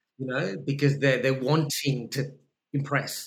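A man with an Australian accent talks at a fairly slow pace. His voice is fairly high-pitched and somewhat breathy. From Sri Lanka and Perth, Australia. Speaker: actor. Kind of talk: casual chat. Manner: animated.

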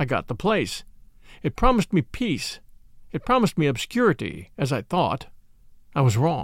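With vocal fry and very wide pitch swings, the voice moves at a moderate pace through long, frequent pauses, the sound dry and close with no echo. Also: man, fairly high pitch for a man. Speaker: audiobook narrator and podcast host. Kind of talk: dramatic narration of a Victorian novel, reading aloud with character dialogue.

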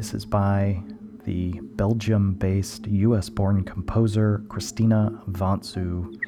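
Music plays in the background behind a man with a fairly low pitch. His tone is calm and his intonation fairly even. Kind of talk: radio DJ patter between tracks, back-announcing songs. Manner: calm, measured, informative.

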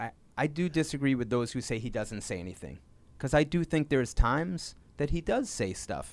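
In a very clean recording with a silent background, a man with an unremarkable speaking voice and medium pitch talks fairly quickly with lively intonation. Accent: American. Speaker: sports reporter. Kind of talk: interview.

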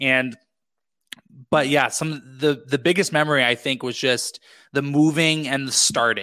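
A man speaks with a Canadian accent at a fairly slow pace. His pitch sits fairly high, and the recording is very clean with a silent background. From western Canada (British Columbia). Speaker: podcast producer and entrepreneur. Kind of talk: interview conversation. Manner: animated.

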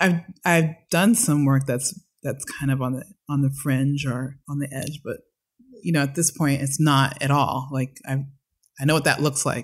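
A woman's very deep, low, somewhat breathy voice at a moderate pace, with long, frequent pauses. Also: fairly even intonation. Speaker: choreographer and dance company director. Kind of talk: casual chat. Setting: at home.

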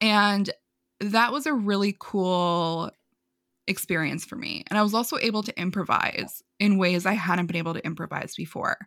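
Speaking in a New York accent, a woman uses a medium pitch and ordinary pitch variation in a very clean recording with a silent background. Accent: New York American. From US Northeast, New York. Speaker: marketing consultant. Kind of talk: casual interview. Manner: fast talker.

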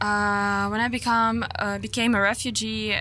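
A woman with a Ukrainian accent. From Ukraine. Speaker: singer. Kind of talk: interview. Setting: in person at music event.

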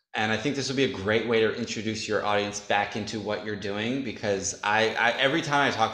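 An American-accented man with an unremarkable speaking voice talks at a fairly quick pace with fairly even intonation. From upstate New York. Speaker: adult film performer. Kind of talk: casual chat.

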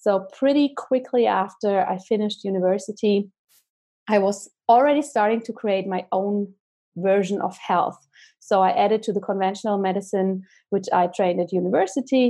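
A woman's medium-pitched voice with a German accent, dark and mellow in tone, at a moderate pace with ordinary pitch variation, against a quiet background. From Germany. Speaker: holistic doctor. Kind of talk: interview.

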